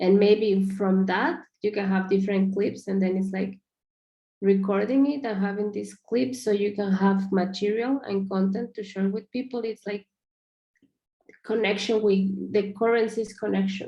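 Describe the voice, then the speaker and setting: Speaking with a non-native accent, a woman has a dark, mellow tone. Her pace is moderate. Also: medium pitch for a woman, fairly even intonation. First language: not English. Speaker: project feedback giver. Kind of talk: video call discussion. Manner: halting, many fillers.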